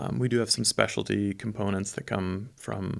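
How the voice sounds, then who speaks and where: On a very clean recording with a silent background, a man with a plain, everyday voice speaks at a moderate pace in a fairly low pitch with ordinary pitch variation. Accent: American. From southern Germany, near Stuttgart (American missionary kid). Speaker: business co-founder, graphic designer. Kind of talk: interview.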